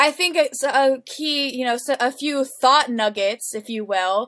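A woman speaks at a high pitch in a raised, projected voice with lively intonation and a bright, sharp tone. The recording is very clean, with a silent background. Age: 20s. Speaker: nonprofit network coordinator. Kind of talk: casual chat. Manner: halting.

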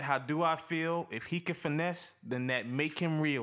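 In a bright, sharp tone, a man speaks at a fairly high pitch with fairly even intonation. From Louisiana. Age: 20s. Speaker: podcast co-host. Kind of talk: casual chat.

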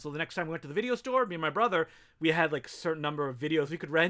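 A man talks at a very fast pace. His tone is bright and sharp, with lively intonation. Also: very clean recording, silent background. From Canada, Ottawa and small French town. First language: French. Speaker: filmmaker and podcast host. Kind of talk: casual chat.

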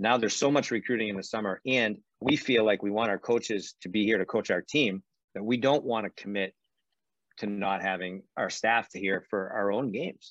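With an American accent, a man talks at a fairly quick pace in an ordinary speaking voice, fairly low in pitch with ordinary pitch variation. The sound is dry and close with no echo, over a quiet background. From Boston suburbs, Massachusetts. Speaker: college hockey coach. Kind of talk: interview.

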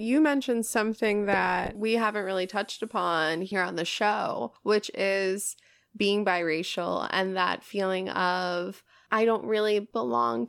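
A woman speaks in a plain, everyday voice with an American accent, at a medium pitch and a fairly slow pace. Her intonation is lively, and the recording is very clean with a silent background. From New York. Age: 30s. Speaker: podcast host. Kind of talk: casual chat; scripted intro.

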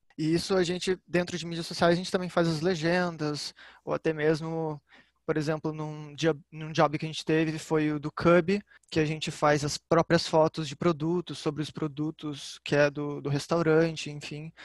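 A man with a fairly high voice, flat monotone intonation, and a moderate pace, in a dry, close sound with no echo over a quiet background. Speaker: public relations student, social media. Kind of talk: casual chat.

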